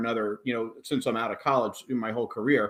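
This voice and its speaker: On a very clean recording with a silent background, a man with an American accent speaks with fairly even intonation. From New Jersey shore, US. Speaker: audio company technical engineer. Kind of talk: interview conversation.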